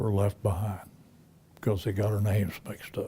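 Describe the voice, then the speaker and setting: The tone is dark and mellow. There is some breathiness to the voice. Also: man. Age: 90s. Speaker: war veteran. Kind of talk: testimony. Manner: halting.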